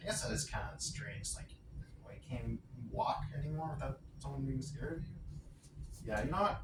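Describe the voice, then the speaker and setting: Quiet and pausing long and often, a man speaks at a moderate pace amid audible room echo and noticeable background noise. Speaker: vlogger. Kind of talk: casual vlog monologue. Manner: rambling, self-correcting.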